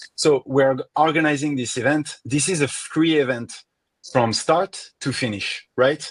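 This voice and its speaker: Fairly slow speech from a man with a French accent, fairly high in pitch with ordinary pitch variation, over a quiet background. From France. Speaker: event organizer and host. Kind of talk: online conference introduction.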